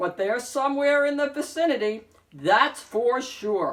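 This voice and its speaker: A put-on character voice comes through at a moderate tempo. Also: woman, high pitch for a woman. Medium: read story.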